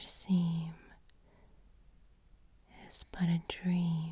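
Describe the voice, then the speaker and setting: Soft-spoken and somewhat breathy, a woman talks very slowly at a fairly low pitch in a dark, mellow tone. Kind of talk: poetry reading.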